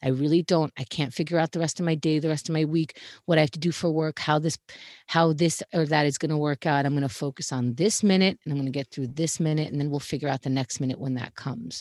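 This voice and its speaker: A woman with a New York accent speaks very fast at a very deep, low pitch with fairly even intonation. The recording is very clean and silent behind her, dry and close with no echo. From Queens, New York. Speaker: comedy talk show host. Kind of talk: casual interview. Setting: home closet.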